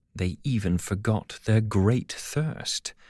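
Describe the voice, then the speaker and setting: The speaker has a British accent and talks at a very slow pace with ordinary pitch variation. The recording is very clean with a silent background and a dry, close sound with no echo. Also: man. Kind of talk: audiobook fable reading.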